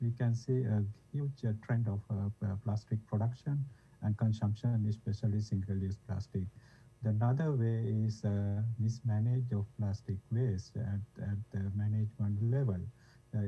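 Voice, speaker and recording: Soft-spoken and somewhat breathy, a man with a fairly low pitch and a dark, mellow tone talks at a moderate pace with fairly even intonation. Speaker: environmental researcher. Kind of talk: panel discussion. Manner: halting. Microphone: too quiet.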